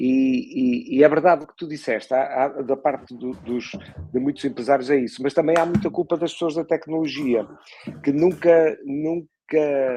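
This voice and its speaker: A man speaks at a fairly high pitch and a moderate pace. His pitch varies in an ordinary way. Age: 60s. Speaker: podcast host. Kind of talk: interview conversation. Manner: halting, many repetitions.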